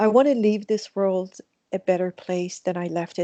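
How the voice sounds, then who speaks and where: A woman with a Persian accent speaks in a dark, mellow tone at medium pitch and moderate pace, her intonation fairly even, in a dry, close sound with no echo. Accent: Persian (Iranian) accent in English. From Iran. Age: 60s. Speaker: mindfulness teacher. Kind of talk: interview.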